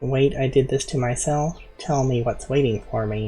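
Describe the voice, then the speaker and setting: Using a put-on character voice, a man talks at a medium pitch with fairly even intonation. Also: moderate pace. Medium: virtual streamer.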